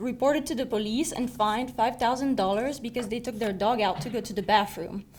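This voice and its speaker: A woman with a slight French accent talks at a fairly quick pace. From southern France. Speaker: student speaker. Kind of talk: prepared personal speech.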